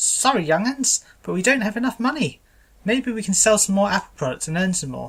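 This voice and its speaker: A female-sounding voice does a put-on character voice at a medium pitch and a fairly quick pace. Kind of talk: dramatic reading. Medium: read story. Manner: folksy, homespun.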